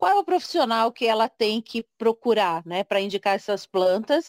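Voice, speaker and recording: An ordinary speaking voice moves at a moderate pace, dry and close with no echo, in a very clean recording with a silent background. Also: woman. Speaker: podcast host. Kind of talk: interview. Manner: conversational, informal.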